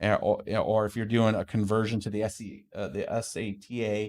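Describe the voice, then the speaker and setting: A man speaks with a fairly low voice. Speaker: crypto mining youtuber. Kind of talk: livestream tech talk. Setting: livestream studio. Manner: fast; casual.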